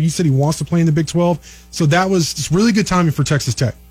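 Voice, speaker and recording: Music plays in the background as a man talks very fast at a fairly high pitch with ordinary pitch variation. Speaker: sports analyst and recruiting reporter. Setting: radio studio.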